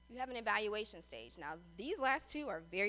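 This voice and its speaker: A woman speaks with lively intonation. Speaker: public affairs specialist teaching a workshop. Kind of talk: lecture. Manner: fast.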